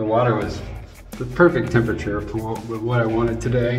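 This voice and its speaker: The speaker is a man with a moderate pace. Music sounds clearly behind him. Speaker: travel vlogger. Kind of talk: casual vlog chat. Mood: relieved, humorous. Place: bathroom. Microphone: phone near.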